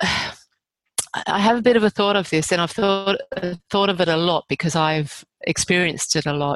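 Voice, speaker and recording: A woman talks at a moderate pace with long, frequent pauses. Her pitch is fairly low with ordinary variation, and the sound is dry and close with no echo. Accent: Australian. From Australia, rural New South Wales. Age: 50s. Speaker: author. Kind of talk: casual chat.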